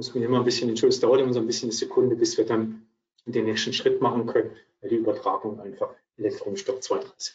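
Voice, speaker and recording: A man talks with a Swabian accent. His pace is very fast. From Swabia, southwestern Germany. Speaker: accounting advisor, co-presenter. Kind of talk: webinar presentation. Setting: virtual webinar.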